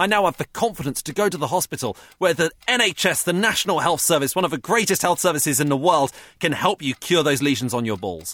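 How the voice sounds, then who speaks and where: With an English accent, a man speaks at a very fast pace in a bright, sharp tone with vocal fry. The sound is dry and close, with no echo. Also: fairly high pitch for a man, lively intonation. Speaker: comedian. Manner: halting.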